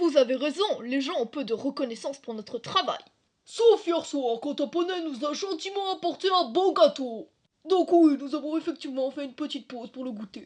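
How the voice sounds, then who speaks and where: A put-on character voice delivers its lines at a high pitch and a moderate pace. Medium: fan dub. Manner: flat, literal, matter-of-fact.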